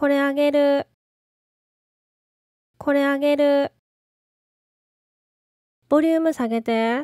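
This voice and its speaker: Speaking very slowly with long, frequent pauses, a woman uses a high pitch, a dark, mellow tone, flat monotone intonation and very even loudness in a dry, close sound with no echo. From Osaka. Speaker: language teacher. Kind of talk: language lesson phrase read. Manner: slow, clear.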